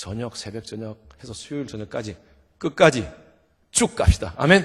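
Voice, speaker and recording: A man speaks in a Gyeongsang accent at a moderate pace, his pitch swinging very widely. His animated tone is somewhat breathy. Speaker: revival guest preacher. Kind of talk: sermon. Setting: church.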